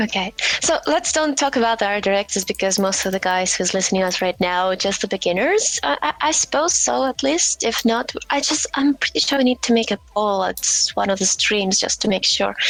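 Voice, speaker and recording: A woman with a non-native accent speaks at a fairly quick pace and medium pitch, her loudness very even while her pitch swings very widely. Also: hardly any pauses. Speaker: stream host. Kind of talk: casual chat. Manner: halting.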